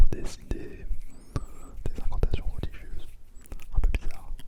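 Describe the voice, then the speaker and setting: With noticeable noise behind, the speaker whispers at a fairly slow pace. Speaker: ASMR creator. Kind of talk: ASMR whisper talk to camera. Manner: whispered.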